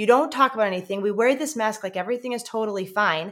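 Speaking very fast in an American accent, a woman uses lively intonation. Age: 30s. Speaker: missionary. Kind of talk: interview conversation.

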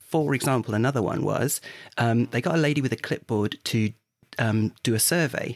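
With a southern English accent, a man of medium pitch speaks at a moderate pace with ordinary pitch variation and very even loudness, in a dry, close sound with no echo. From southern England, Hertfordshire. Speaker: podcast co-host. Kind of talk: casual chat.

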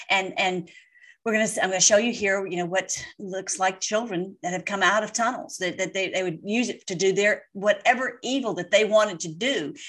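At a moderate pace, a woman with an ordinary speaking voice talks at a medium pitch with ordinary pitch variation. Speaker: online political commentator. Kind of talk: casual commentary over replayed clips. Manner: rambling, repetitive with many fillers; fervent, ends in prayer.

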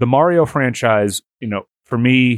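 A man with an American accent and an unremarkable speaking voice, ordinary pitch variation, a moderate pace and a dry, close sound with no echo. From Boston. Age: 30s. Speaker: podcast co-host. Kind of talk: casual chat.

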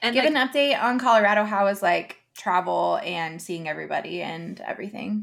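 Talking at a fairly quick pace with hardly any pauses, a woman uses lively intonation at a medium pitch, with vocal fry. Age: 30s. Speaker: podcast co-host. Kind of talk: casual chat.

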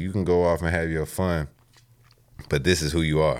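On a very clean recording with a silent background, a man with an American accent speaks fairly quickly in a very deep, low voice. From Texas, Houston. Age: 20s. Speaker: rapper. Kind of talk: casual interview.

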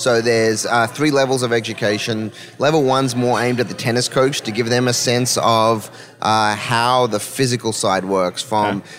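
Noticeable background noise sits under a man talking at a moderate pace, with medium pitch and fairly even intonation. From Melbourne, Australia. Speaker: sports performance expert, former college tennis player. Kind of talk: podcast interview.

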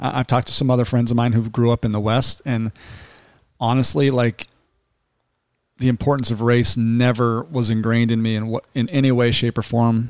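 Speaking in an American accent at a fairly quick pace, a man keeps a medium pitch, flat monotone intonation and very even loudness, with a dry, close sound and no echo. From Salt Lake City, Utah. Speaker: podcast co-host. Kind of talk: casual serious discussion.

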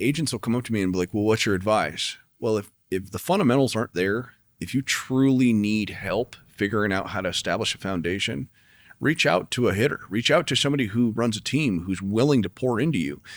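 A man with an American accent at a fairly quick pace, medium pitch and lively intonation, a plain, everyday voice, on a very clean recording with a silent background. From not Chicago. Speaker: podcast host, real estate team leader. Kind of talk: interview.

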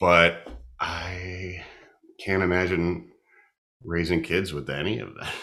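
A man's very deep, low voice with a bright, sharp tone, monotone and flat, at a very slow pace with long, frequent pauses and audible room echo. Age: 30s. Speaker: comedian. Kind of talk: casual chat. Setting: home kitchen.

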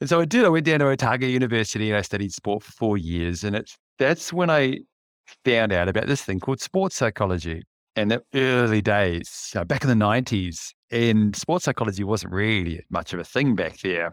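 In a New Zealand accent, a man talks fairly quickly at a fairly low pitch with lively intonation, his voice dry and close with no echo on a very clean recording with a silent background. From New Zealand, West Auckland. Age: 50s. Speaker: leadership coach and freediver. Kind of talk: casual interview chat.

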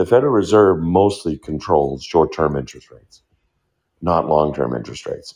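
Lively intonation with vocal fry, a fairly quick pace and big swings in loudness. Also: man, very deep, low pitch for a man. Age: 60s. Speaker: economist and professor answering audience questions. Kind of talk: live Q&A lecture. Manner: explanatory, opinionated.

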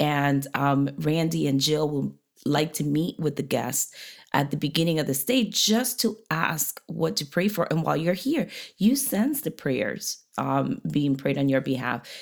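At a fairly slow pace, a woman talks with a very deep, low pitch and vocal fry, her intonation lively and her loudness very even. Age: 40s. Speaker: podcast co-host, pastor's wife. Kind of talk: casual chat. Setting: guest apartment in New Hampshire.

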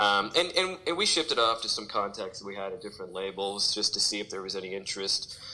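A man with an American accent at a very fast pace, hardly any pauses, and noticeable background noise. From St. Louis, Missouri, US Midwest. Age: 40s. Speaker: pop punk musician. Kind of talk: casual interview chat.

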